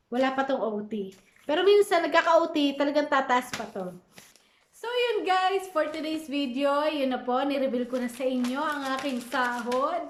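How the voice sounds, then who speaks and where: A woman speaks at a moderate pace with lively intonation and a high pitch, over noticeable background noise. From Philippines. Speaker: vlogger and caregiver. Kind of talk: casual vlog.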